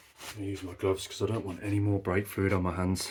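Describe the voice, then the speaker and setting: Speaking with a British accent, a man has a fairly low pitch. His pace is very fast. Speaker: car mechanic youtuber. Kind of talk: tutorial. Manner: soft-spoken.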